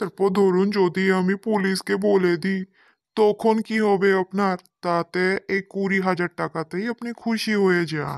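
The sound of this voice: A cartoonish character voice sits at a middle pitch. The pace is moderate, and the background is quiet.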